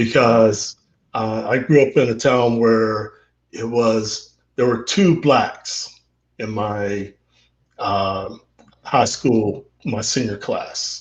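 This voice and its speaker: A man's somewhat breathy, medium-pitched voice with an American accent and fairly even intonation, at a very slow pace with long, frequent pauses. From Central Texas. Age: 60s. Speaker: interview guest, father. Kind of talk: casual interview. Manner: halting, many fillers and repetitions.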